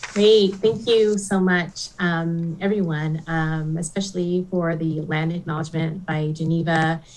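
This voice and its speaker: In a normal speaking voice, a woman talks at a fairly low pitch and a fairly slow pace, with fairly even intonation and hardly any pauses. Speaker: novelist and university administrator. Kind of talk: author talk. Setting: livestream event.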